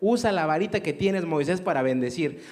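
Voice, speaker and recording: The man's voice is high-pitched and fairly quick. It moves through very wide pitch swings. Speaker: radio announcer and theology teacher. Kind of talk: interview.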